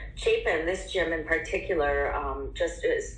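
A woman with an American accent speaks at a fairly slow pace over audible room echo and noticeable background noise. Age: 50s. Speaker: personal trainer. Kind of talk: interview.

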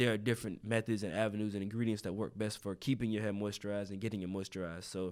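A man with a North Carolina accent speaks at a very fast pace with monotone, flat intonation in a very clean recording with a silent background. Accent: Southern US, North Carolina. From eastern North Carolina. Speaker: content creator and hair care business owner. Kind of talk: casual interview.

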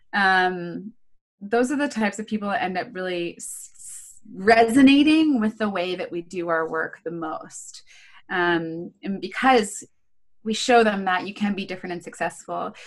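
A woman with a plain, everyday voice at a medium pitch, moderate pace, lively intonation and big swings in loudness. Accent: American. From Baltimore, US. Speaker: life coach. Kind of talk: casual chat.

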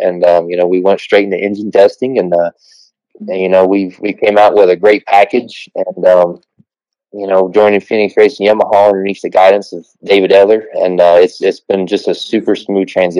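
Monotone, flat, fairly quick speech from a man with an American accent, a fairly low pitch and a dark, mellow tone. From southern Ohio near Kentucky and West Virginia. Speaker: off-road racer. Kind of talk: casual chat. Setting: phone call.

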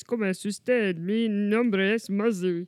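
Moderate pace and fairly high pitch in a put-on character voice. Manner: cartoonish, sing-song.

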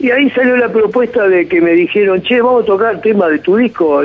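A man talks at a fairly quick pace in a Rioplatense accent. Background noise is noticeable. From Argentina. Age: 50s. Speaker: rock musician. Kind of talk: casual interview.

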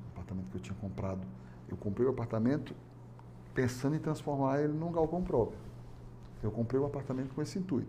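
A man's very fast speech at medium pitch, dark and mellow in tone with vocal fry, lively intonation and long, frequent pauses. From Fortaleza, Ceará, Brazil. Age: 50s. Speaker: business owner. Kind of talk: interview. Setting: studio.

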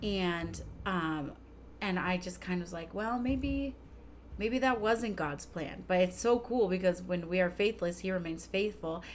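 Speaking fairly slowly with ordinary pitch variation, a woman at a medium pitch has an unremarkable speaking voice. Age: 30s. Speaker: podcast co-host, mom. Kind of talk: casual chat.

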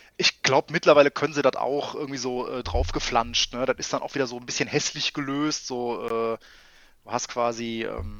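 A man's medium-pitched voice at a moderate pace, with ordinary pitch variation, big swings in loudness, hardly any pauses and music in the background. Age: 30s. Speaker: IT infrastructure consultant. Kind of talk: casual chat.

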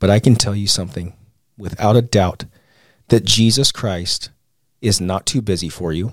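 The recording is very clean with a silent background. A man with a fairly low pitch speaks at a moderate pace, with ordinary pitch variation and long, frequent pauses. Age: 30s. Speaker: war veteran and podcaster. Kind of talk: interview storytelling.

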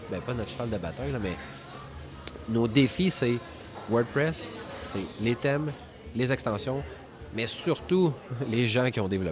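Over noticeable background noise, a man with a Quebec accent speaks with lively intonation and long, frequent pauses. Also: medium pitch for a man, fairly slow pace. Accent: Québécois French. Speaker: entrepreneur, web maintenance company cofounder. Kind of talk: casual interview.

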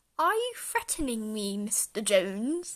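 A woman does a put-on character voice with growling and a fairly high pitch. She delivers it at a fairly slow pace. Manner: snarling, threatening.

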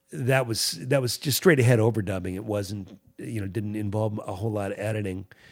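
In an ordinary speaking voice with an American accent, a man talks at a fairly quick pace and fairly low pitch on a very clean recording with a silent background. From Virginia, US South. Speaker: musician and music teacher. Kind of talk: casual interview.

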